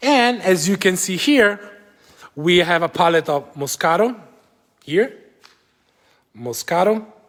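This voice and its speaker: A high-pitched man with an Italian accent, lively intonation, a fairly slow pace and long, frequent pauses. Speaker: winery guide. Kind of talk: live virtual tour. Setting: winery cellar, live video stream. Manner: casual, hesitant. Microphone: echo in cellar.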